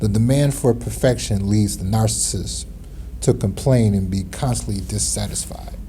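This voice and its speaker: A man is speaking with audible room echo. Noticeable background noise runs underneath. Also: moderate pace. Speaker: self-help vlogger. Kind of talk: casual monologue mixing reading and personal commentary. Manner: soft-spoken; clear articulation.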